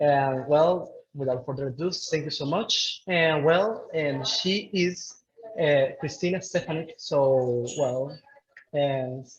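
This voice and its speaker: A man with a Spanish accent speaks at a fairly slow pace in a fairly high voice, his pitch varying in an ordinary way. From Venezuela, Puerto Ordaz. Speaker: event host. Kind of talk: webinar introduction.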